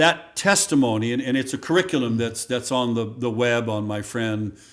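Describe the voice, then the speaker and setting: A man with an American accent, medium pitch, moderate pace and a plain, everyday voice. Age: 60s. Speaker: former state legislator and radio talk show host. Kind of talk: casual interview chat.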